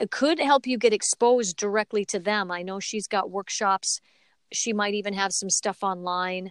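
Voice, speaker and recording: Recorded very cleanly against a silent background with a dry, close sound and no echo, a woman with a plain, everyday voice speaks at medium pitch and a fairly slow pace in an American accent, with ordinary pitch variation. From US Midwest, Minneapolis, Minnesota. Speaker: voice actress. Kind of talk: casual interview.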